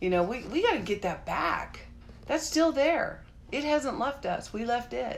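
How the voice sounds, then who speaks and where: A woman with a high voice speaks at a fairly slow pace in an animated tone, her pitch swinging very widely, with audible room echo and noticeable background noise. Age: 60s. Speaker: vlogger on a juicing journey. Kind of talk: live stream chat with viewers.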